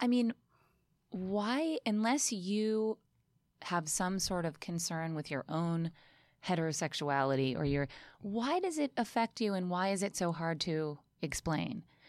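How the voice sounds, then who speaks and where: In a very clean recording with a silent background, a woman in a plain, everyday voice speaks at medium pitch and a fairly slow pace, her intonation lively and her loudness very even. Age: 30s. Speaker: podcast guest. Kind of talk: casual chat.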